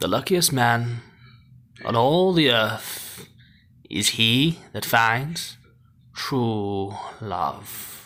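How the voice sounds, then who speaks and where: A put-on character voice moves at a very slow pace. Long pauses come often. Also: man, medium pitch for a man. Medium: solo performance. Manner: grave, theatrical.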